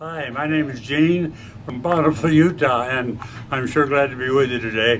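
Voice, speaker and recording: A man speaks at a moderate pace with a fairly high pitch and ordinary pitch variation. His loudness swings widely, and the room echo is audible. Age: 80s+. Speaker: product testimonial giver. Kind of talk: testimony.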